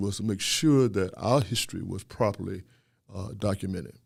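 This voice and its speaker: A man with a plain, everyday voice at a moderate pace, ordinary pitch variation, on a very clean recording with a silent background. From US South (Louisiana). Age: 60s. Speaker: historian and professor. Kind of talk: podcast interview.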